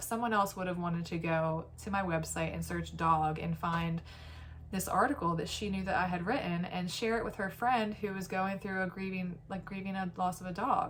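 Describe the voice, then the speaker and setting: A woman's medium-pitched voice with ordinary pitch variation at a moderate pace. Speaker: vlogger. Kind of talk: casual monologue. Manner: halting.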